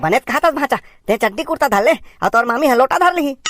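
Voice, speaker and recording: A cartoonish character voice rattles along at a very fast pace. The pitch is high. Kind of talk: cartoon comedy.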